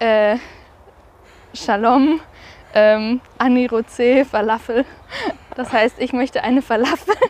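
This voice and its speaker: A woman speaks very slowly in a high voice, leaving long, frequent pauses. Her intonation stays fairly even. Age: 20s. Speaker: university student. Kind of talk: interview.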